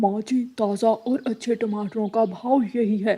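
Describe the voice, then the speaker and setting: At a moderate pace, a cartoonish character voice sits at a fairly high pitch. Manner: loud, salesy.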